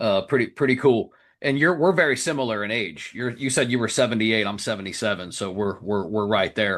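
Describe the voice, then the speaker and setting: A man with an American accent uses a plain, everyday voice at medium pitch, talking fairly quickly with lively intonation against a quiet background. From Florida. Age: 40s. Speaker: podcast host. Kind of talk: interview. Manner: casual.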